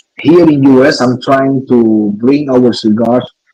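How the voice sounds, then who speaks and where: A man's dark, mellow tone sits at medium pitch with ordinary pitch variation. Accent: non-native. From Cuba. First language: Spanish. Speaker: cigar maker. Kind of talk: interview. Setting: live stream. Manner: halting.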